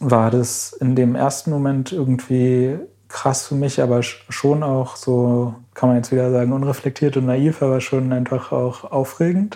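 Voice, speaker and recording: A man with an unremarkable speaking voice talks at medium pitch and a fairly slow pace. His intonation is fairly even, his loudness very even, and he hardly pauses at all. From Berlin, Germany. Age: 20s. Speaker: climate activist. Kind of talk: interview.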